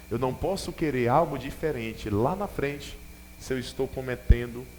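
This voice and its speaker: The intonation is lively, and the room echo is audible. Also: man. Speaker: bishop preaching. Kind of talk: sermon. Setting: church with congregation.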